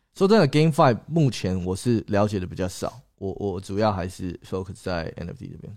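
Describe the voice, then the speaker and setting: A man with a plain, everyday voice speaks at a moderate pace, his pitch fairly low. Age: 20s. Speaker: YouTuber and crypto investor. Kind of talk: livestream chat. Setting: livestream. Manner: code-switching with English.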